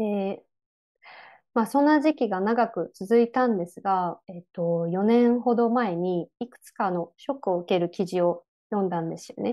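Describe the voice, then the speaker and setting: A woman speaks at medium pitch and a moderate pace against a quiet background. Her pitch varies in an ordinary way while her loudness swings widely. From Japan, rural Chiba; Japan. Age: 30s. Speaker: graphic designer and environmental activist; lecturer. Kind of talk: online lecture. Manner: many fillers (えっと, あの). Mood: calm, thoughtful. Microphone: earbuds.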